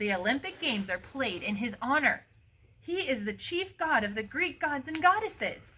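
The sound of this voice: A woman's put-on character voice, high-pitched and bright and sharp in tone, with a slightly husky edge, big pitch swings and a moderate pace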